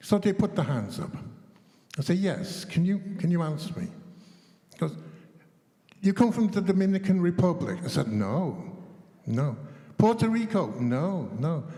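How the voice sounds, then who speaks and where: A man's high-pitched voice with lively intonation, moderate pace and long, frequent pauses, over noticeable background noise. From England. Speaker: chess teacher trainer. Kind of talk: panel discussion. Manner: animated.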